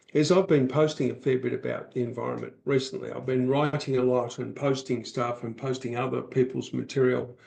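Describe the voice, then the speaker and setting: A man with vocal fry talks at a fairly quick pace and medium pitch, keeping his intonation fairly even. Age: 60s. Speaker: author and public speaker, podcast guest. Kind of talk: podcast interview conversation.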